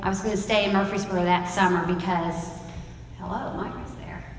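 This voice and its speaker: A woman speaks at a medium pitch. Noticeable background noise runs behind her. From West Tennessee. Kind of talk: sermon.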